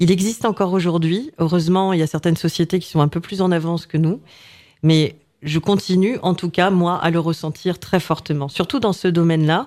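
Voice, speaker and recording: An ordinary speaking voice from a woman, fairly low in pitch, fairly quick, very even in loudness, on a very clean recording with a silent background. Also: ordinary pitch variation. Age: 40s. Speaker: business owner. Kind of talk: casual chat.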